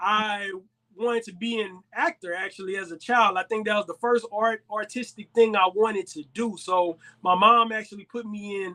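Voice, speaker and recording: A man uses a raised, projected voice at a fairly slow pace. The sound is dry and close, with no echo. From Texas, Houston. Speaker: podcast co-host, hip-hop artist. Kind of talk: casual chat.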